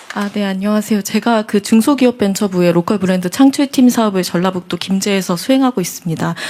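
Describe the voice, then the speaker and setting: A woman talks very fast at a medium pitch, with hardly any pauses. Noticeable background noise runs underneath. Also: ordinary pitch variation. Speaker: local business entrepreneur. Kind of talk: town hall comment.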